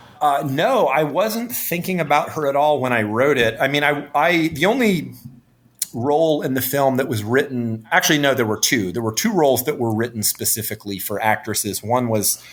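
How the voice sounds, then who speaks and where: Over noticeable background noise, a man with an American accent talks at a moderate pace, his pitch fairly high and his intonation lively. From North Carolina, US South. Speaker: film director. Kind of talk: interview.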